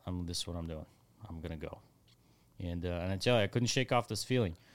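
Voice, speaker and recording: A man talks at a very fast pace with a very deep, low pitch. His pitch variation is ordinary, broken by long, frequent pauses. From Ukraine. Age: 30s. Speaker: volunteer fighter in Ukraine. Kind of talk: interview testimony. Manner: halting with many fillers.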